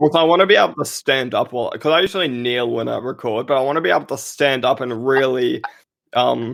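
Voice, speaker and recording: A man with an Australian accent talks at a very fast pace. His pitch is medium, with ordinary variation. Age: 18. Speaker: voice actor. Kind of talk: casual chat.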